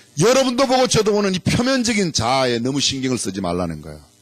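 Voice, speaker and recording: A man's animated tone carries very wide pitch swings through noticeable background noise. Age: 60s. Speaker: pastor. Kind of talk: sermon.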